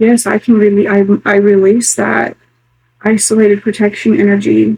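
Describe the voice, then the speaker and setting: A somewhat breathy woman's voice, dark and mellow in tone, with very even loudness and fairly even intonation. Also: medium pitch for a woman, moderate pace. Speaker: spiritual tarot vlogger. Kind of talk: solo tarot reading vlog. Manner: quiet, near whisper.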